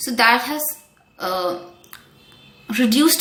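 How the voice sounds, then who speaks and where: A woman speaks at a high pitch. Noticeable background noise and audible room echo are present. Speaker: wellness coach. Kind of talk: tutorial. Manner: calm; hesitant.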